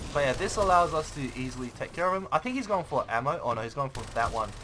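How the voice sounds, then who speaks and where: Amid noticeable background noise, the speaker's intonation stays lively. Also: man. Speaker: gaming YouTuber. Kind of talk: gameplay commentary tutorial. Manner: fast; casual, halting with fillers.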